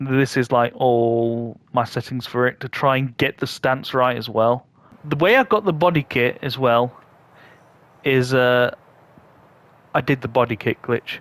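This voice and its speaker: With a British accent, a man speaks at a fairly slow pace with fairly even intonation and long, frequent pauses. The sound is dry and close, with no echo. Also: medium pitch for a man. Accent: UK. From UK. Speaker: gaming YouTuber. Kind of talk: gameplay tutorial commentary. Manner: halting, many repeated words and fillers.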